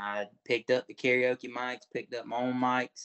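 A man speaks with a Southern US accent. His intonation is fairly even. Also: quiet background. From Florida Panhandle. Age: 20s. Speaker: talent show contestant. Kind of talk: interview. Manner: casual. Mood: warm, earnest. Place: home room. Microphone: video call.

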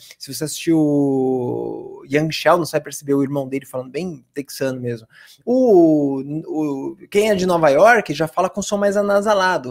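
A man with a Brazilian accent speaks at a moderate pace against a quiet background. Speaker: English teacher. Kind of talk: tutorial. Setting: live stream. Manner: animated. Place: home room. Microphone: studio mic.

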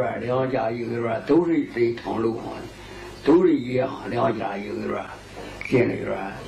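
With a Qingdao accent, the speaker talks at a moderate pace over light background noise. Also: man. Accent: old Qingdao dialect, Jiaoliao Mandarin. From Qingdao, Shandong. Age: old. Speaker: elderly local resident. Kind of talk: interview answer.

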